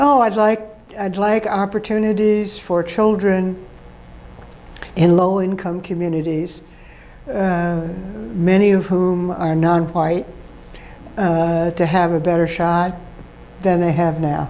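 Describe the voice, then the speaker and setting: A woman with an American accent speaks at a very slow pace in a fairly low voice, with fairly even intonation, long and frequent pauses, and audible room echo. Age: 80s+. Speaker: retired professor and education dean. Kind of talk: interview. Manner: halting.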